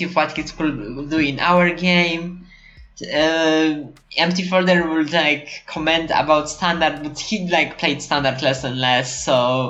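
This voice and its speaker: With a non-native accent, a woman speaks fairly slowly in a very deep, low voice, her intonation fairly even, with audible room echo. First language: not English. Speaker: card game podcast host. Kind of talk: casual chat. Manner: halting, many fillers and restarts.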